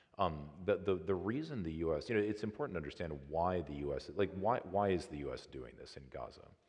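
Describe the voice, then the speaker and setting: Here a man talks at a very fast pace in an American accent. His very deep, low voice carries vocal fry. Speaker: trauma surgeon. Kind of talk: public talk Q&A. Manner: calm; halting.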